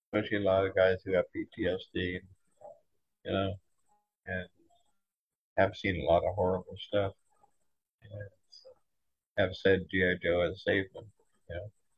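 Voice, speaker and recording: A quiet man talks at a moderate pace, leaving long, frequent pauses. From Boston, US. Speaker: toy designer. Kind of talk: casual interview. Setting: fan convention.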